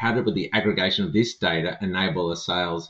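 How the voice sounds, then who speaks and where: Fairly quick male speech with very wide pitch swings. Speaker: corporate sales executive and podcast co-host. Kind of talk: corporate podcast discussion.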